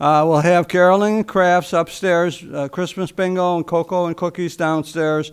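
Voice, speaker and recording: At a moderate pace, a man speaks in a high pitch. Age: 70s. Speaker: library board representative, retired teacher. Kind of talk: council meeting report. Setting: city council chamber. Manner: rambling, hesitant with fillers.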